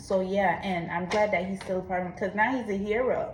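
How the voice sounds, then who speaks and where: The delivery is monotone and flat, with noticeable background noise and audible room echo. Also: woman. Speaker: vlogger. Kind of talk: personal confession monologue. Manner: casual, conversational.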